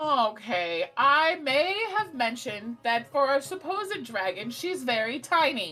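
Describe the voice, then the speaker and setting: In a put-on character voice, a woman speaks at a high pitch and a fairly slow pace, with hardly any pauses and very wide pitch swings. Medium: actual play. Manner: blunt, defensive.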